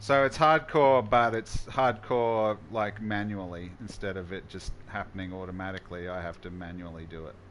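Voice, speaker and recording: Speaking at a moderate pace with hardly any pauses, the voice has an Australian accent, ordinary pitch variation and big swings in loudness. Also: man, fairly low pitch for a man. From Australia, Queensland. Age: 40s. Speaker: gaming streamer. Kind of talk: live gameplay stream chat. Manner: casual, halting with restarts.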